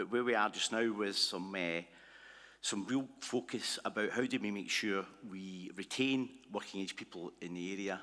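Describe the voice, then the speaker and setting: In a Glasgow accent, a man speaks at a moderate pace with a fairly low pitch, a bright, sharp tone and ordinary pitch variation. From Scotland, Glasgow. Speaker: conference presenter. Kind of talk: presentation. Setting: conference hall with livestream. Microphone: initially too far from mic, livestream struggling.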